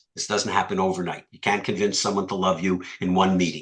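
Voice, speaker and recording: A man's bright, sharp voice with a Canadian accent and ordinary pitch variation. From Canada. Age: old. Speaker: business acquisition coach. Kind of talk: webinar lecture. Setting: live webinar.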